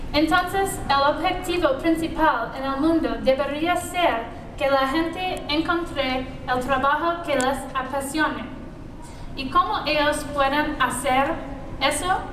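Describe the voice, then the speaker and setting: Speaking very slowly in a high voice with a strong American accent, a woman keeps her intonation fairly even, with audible room echo and noticeable background noise. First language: English (speaking Spanish). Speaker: entrepreneur. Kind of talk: conference talk. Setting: stage with audience. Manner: halting, non-native Spanish.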